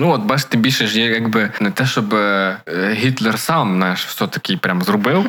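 Over noticeable background noise, a man with fairly low pitch talks at a moderate pace with ordinary pitch variation, hardly any pauses, and very even loudness. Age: 20s. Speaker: podcast co-host. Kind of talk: casual chat.

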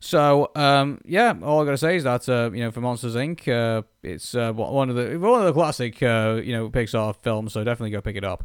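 A man with a British accent and medium pitch at a fairly quick pace, with hardly any pauses and ordinary pitch variation, on a very clean recording with a silent background. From Britain. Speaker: podcast co-host. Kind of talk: casual chat. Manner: halting, many fillers.

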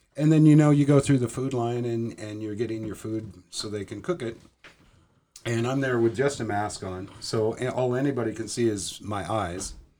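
Dark and mellow in tone, a man speaks at a medium pitch with ordinary pitch variation and big swings in loudness. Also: moderate pace. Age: 50s. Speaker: tattoo artist. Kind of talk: casual chat.

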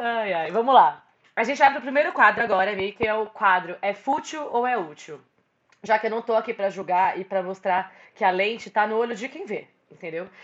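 An unremarkable speaking voice from a woman, fairly high in pitch, with lively intonation at a fairly quick pace. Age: 20s. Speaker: podcast host. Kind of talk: casual chat.

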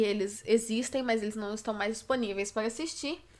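Her pitch moves in an ordinary way. The speaker is a woman. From Brazil, Belo Horizonte, Minas Gerais. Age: 20s. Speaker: youtuber and podcaster. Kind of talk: podcast intro monologue.

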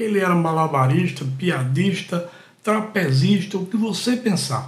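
A man talks fairly slowly, his pitch varying in an ordinary way, with audible room echo in the recording. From Brazil, Pernambuco (Catende). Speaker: podcast host, storyteller. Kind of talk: personal storytelling monologue.

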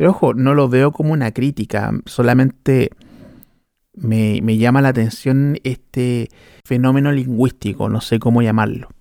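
A man speaks with a Chilean accent in a medium pitch and a dark, mellow tone. His delivery is fairly slow with fairly even intonation, in a very clean recording with a silent background. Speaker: podcast host. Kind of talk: casual monologue.

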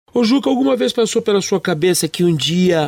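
On a very clean recording with a silent background, a man's intonation is lively. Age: 50s. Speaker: radio host. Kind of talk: radio interview.

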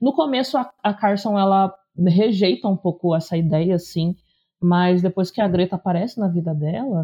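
A woman's medium-pitched voice comes through somewhat breathy. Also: ordinary pitch variation, moderate pace, very even loudness. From interior of São Paulo state, Brazil. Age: 30s. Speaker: teacher and content creator. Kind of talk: casual chat.

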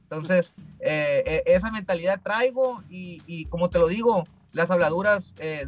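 With music in the background, a man speaks at a fairly slow pace and a high pitch, his loudness swinging widely. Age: 20s. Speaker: professional boxer. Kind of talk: interview. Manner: halting, many repetitions.

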